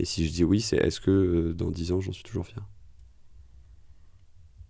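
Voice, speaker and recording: A man speaks with a very deep, low pitch and a dark, mellow tone. His delivery is monotone and flat, and somewhat breathy. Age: 30s. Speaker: podcast host and founder, former tax lawyer. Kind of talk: interview conversation.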